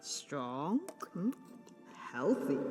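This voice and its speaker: A cartoonish character voice at a low-to-middle pitch rings with strong echo, with clear music playing in the background. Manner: calm, cryptic.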